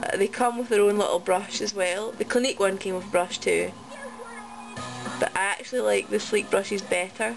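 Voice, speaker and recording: With music in the background, a woman of medium pitch talks at a fairly quick pace with ordinary pitch variation. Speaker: make-up tutorial vlogger. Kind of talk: casual tutorial talk to camera.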